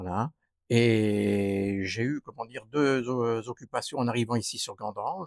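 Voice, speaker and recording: With a plain, everyday voice, a man talks at a fairly slow pace and medium pitch with ordinary pitch variation, in a dry, close sound with no echo. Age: 60s. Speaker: retired gendarme, local election candidate. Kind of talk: interview. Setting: outdoors on a terrace.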